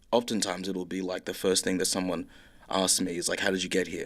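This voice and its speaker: The recording is very clean, with a silent background. A man with an Australian accent speaks at a moderate pace. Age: young. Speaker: filmmaker and writer. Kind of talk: interview answer. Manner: casual, hesitant.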